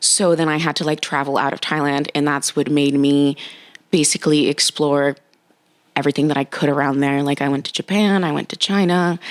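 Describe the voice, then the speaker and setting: The speaker talks at a fairly quick pace with fairly even intonation and an American accent. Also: woman, very deep, low pitch for a woman. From Nicaragua, moved to US at six. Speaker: dating and relationship coach. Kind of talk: casual interview chat.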